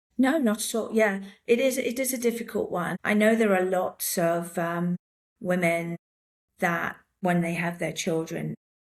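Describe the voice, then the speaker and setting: With an English accent, a woman talks at a fairly slow pace, her medium pitch showing ordinary variation. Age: 60s. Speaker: handbag designer, former tech executive. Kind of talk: interview conversation.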